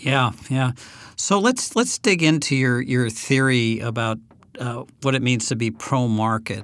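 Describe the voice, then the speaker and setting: A normal speaking voice from a man, medium in pitch with ordinary pitch variation, at a fairly slow pace. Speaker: podcast host. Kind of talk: interview.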